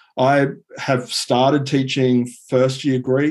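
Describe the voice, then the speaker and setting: A man with an Australian accent, medium pitch and a dark, mellow tone. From Sydney, Australia. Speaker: Latin and Greek teacher. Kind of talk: interview. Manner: halting, many fillers.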